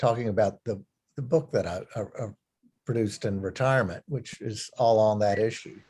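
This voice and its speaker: A man talks at a moderate pace and medium pitch, somewhat breathy, with ordinary pitch variation. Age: 60s. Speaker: retired clergyman. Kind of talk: talk to a church group. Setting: church meeting room with zoom. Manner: halting.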